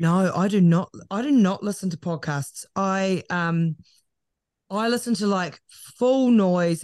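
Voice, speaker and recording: A woman with a New Zealand accent speaks fairly slowly at a medium pitch with ordinary pitch variation, against a quiet background. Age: 30s. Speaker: broadcaster and podcaster. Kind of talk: casual interview chat.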